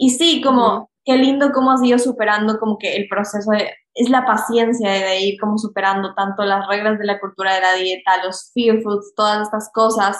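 A woman speaks in an ordinary speaking voice, fairly high in pitch, keeping a moderate pace and fairly even intonation. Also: hardly any pauses. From Ecuador. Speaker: health coach and podcast host. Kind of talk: casual interview chat.

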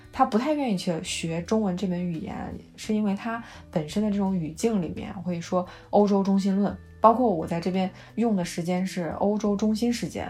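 Calm and somewhat breathy, a woman at medium pitch speaks at a moderate pace in a dark, mellow tone with ordinary pitch variation and audible room echo. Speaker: podcast co-host. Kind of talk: casual chat. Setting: voice call. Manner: calm, even pace.

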